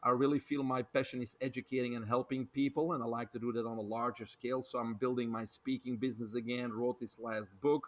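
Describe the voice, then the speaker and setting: A man talks at a very fast pace in a medium pitch. His intonation is flat and monotone. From Belgium. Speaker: health author and speaker. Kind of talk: podcast interview.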